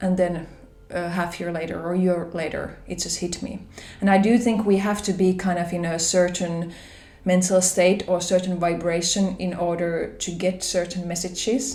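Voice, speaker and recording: Audible room echo surrounds a woman with a Finnish accent and a fairly low pitch. She speaks at a moderate pace in a monotone, flat intonation. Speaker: spiritual vlogger. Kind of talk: personal vlog talk. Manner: hesitant, conversational.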